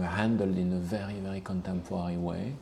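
In a Belgian French accent, a man with a very deep, low pitch and a dark, mellow tone speaks at a moderate pace with a monotone, flat intonation. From Belgium, Liège. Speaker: perfume creative director. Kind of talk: interview. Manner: hesitant, many fillers.

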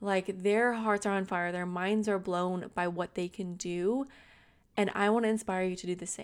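On a very clean recording with a silent background, a woman uses an ordinary speaking voice at a medium pitch with fairly even intonation. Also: moderate pace. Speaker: podcast host and entrepreneur. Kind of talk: solo podcast monologue, casual and motivational. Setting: home podcast microphone.

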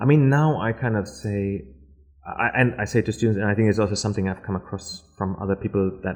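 A man speaks at a fairly quick pace with a German accent and lively intonation. His voice is fairly low in pitch and somewhat breathy. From Germany, Berlin. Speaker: architecture lecturer. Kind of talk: casual interview.

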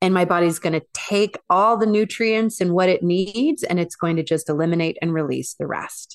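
A plain, everyday voice from a woman, fairly low in pitch with ordinary pitch variation, a moderate pace and hardly any pauses, in a dry, close sound with no echo. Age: 40s. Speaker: transformational coach and former professional dancer. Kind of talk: interview conversation.

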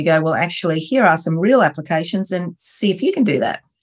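Talking very fast, a woman speaks with an Australian accent. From Australia, Wollongong. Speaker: entrepreneur. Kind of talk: interview storytelling.

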